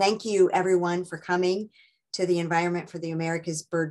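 The speech moves at a moderate pace in a monotone with flat intonation. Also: woman. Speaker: book club host. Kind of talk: meeting host introduction. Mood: friendly, welcoming. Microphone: video call.

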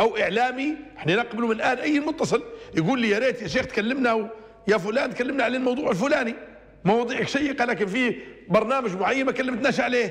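A man with a Libyan accent speaks in an animated tone at a fairly quick pace, his voice extremely high for a man, with ordinary pitch variation and very even loudness. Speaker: religious TV presenter; TV presenter. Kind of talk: religious talk show monologue. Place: studio. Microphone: lapel.

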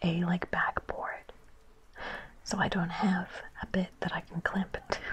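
A woman is speaking. She is whispering. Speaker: ASMR streamer. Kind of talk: ASMR livestream chat. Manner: soft-spoken. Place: home room. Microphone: studio mic.

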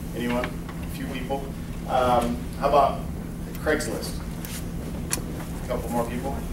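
Moderate speech from a man, noticeable noise in the background. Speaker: presenter. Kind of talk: presentation to audience. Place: meeting room. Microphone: camera far.

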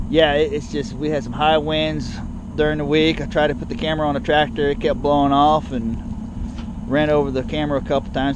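A man talking at a very fast pace, dry sound with no echo, noticeable background noise. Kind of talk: casual vlog chat. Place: farm machine.

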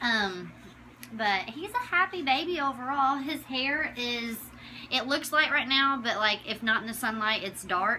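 Lively intonation at a fairly slow pace, with light background noise. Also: woman, high pitch for a woman. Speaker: new mother. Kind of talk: casual talk to camera. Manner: many filler words. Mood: warm, affectionate. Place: home room. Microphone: phone near.

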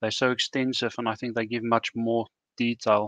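Speaking in a monotone, flat intonation at a moderate pace, a man is heard in a dry sound with no echo against a quiet background. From South Africa. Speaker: software developer; guest. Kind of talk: technical discussion. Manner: halting. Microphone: video call.

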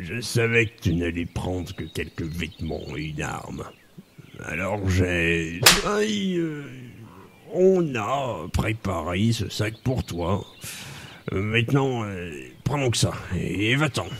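Putting on a character voice, a man with a fairly low pitch and lively intonation talks at a very slow pace with long, frequent pauses. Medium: audio drama. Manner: grumbling, comic bluster.

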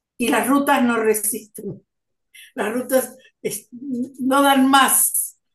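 Amid a quiet background with audible room echo, a woman speaks at a fairly high pitch with fairly even intonation. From Argentina, Buenos Aires province (Tres Arroyos area); Buenos Aires province, Argentina. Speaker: student in a community class. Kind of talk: class discussion. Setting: video call. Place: home room. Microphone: video call.

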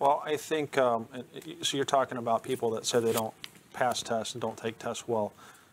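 A man talks at a moderate pace with monotone, flat intonation. Light background noise can be heard. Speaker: electrician. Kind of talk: panel discussion. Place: studio.

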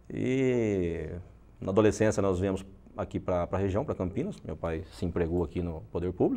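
The speech moves at a moderate pace. Its tone is dark and mellow. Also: man, very deep, low pitch for a man, ordinary pitch variation. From Brazil, interior of São Paulo state. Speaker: franchise owner. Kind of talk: interview. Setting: TV studio. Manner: halting, many repeated words. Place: studio. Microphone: lapel.

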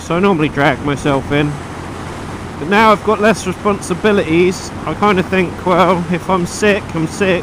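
Noticeable background noise surrounds a man speaking at a moderate pace. The sound is dry with no echo, and his pitch variation is ordinary. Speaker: motorbike rider vlogger. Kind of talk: casual vlog chat. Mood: relaxed, joking. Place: motorbike. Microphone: helmet.

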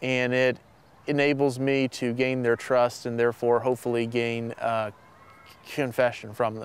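A man's medium-pitched voice at a moderate pace, monotone and flat in intonation, over noticeable background noise. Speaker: police detective. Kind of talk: interview answer.

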